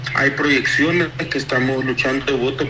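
Moderately paced speech over noticeable background noise. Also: man. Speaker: opposition party campaigner. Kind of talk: phone interview.

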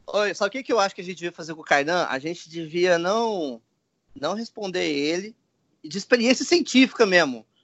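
Lively in intonation, a man's high-pitched voice shows big swings in loudness. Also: fairly quick pace. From Goiânia, Central-West Brazil. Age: 20s. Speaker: travel blogger and backpacker. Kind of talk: casual chat.

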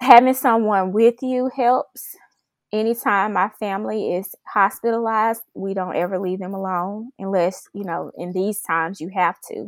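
The voice shows ordinary pitch variation. The sound is dry and close with no echo, in a very clean recording with a silent background. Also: woman, medium pitch for a woman, moderate pace. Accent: Memphis. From Memphis, Tennessee, US South. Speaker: oncology research manager and PhD. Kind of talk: podcast interview.

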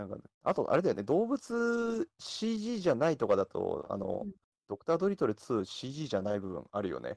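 On a very clean recording with a silent background, a man talks at a moderate pace. His loudness swings widely, and the sound is dry and close with no echo. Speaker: movie fan event host. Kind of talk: casual chat.

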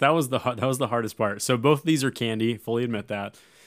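This recording is very clean and the background silent. An American accent comes through in the speech. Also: man. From US Midwest, Iowa (Davenport). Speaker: fantasy football podcast co-host. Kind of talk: casual sports podcast chat.

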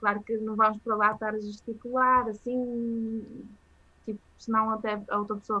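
A woman speaks at a moderate pace. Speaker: journalist. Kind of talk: casual interview. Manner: hesitant, many fillers.

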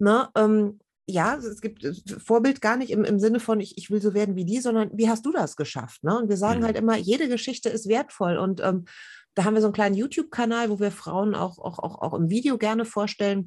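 A woman talks in a normal speaking voice at a fairly high pitch and a fairly quick pace. Her pitch varies in an ordinary way against a quiet background. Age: 40s. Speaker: journalist and women's network founder. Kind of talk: casual interview.

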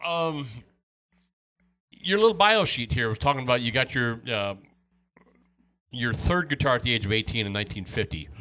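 A man with an American accent, a bright, sharp tone, medium pitch, lively intonation and long, frequent pauses. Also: moderate pace. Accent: slight Midwestern accent, others notice it. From Wisconsin. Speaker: podcast host interviewing musician. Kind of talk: casual interview chat.

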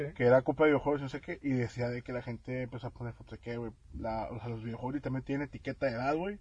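Somewhat breathy speech runs at a very fast pace with ordinary pitch variation. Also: man, medium pitch for a man. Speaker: podcast host. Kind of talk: casual chat.

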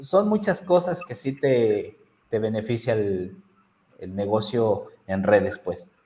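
A man speaks at a very slow pace with a central Mexican accent, at a medium pitch. His pitch swings very widely and his loudness rises and falls sharply. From Mexico, Toluca, Estado de México. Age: 30s. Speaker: network marketing entrepreneur. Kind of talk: interview.

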